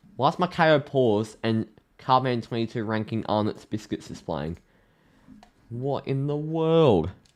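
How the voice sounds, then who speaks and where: An Australian-accented man at a fairly slow pace and medium pitch, with lively intonation against a quiet background. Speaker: AFL live stream host. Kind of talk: live commentary. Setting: live stream. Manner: sounds sarcastic.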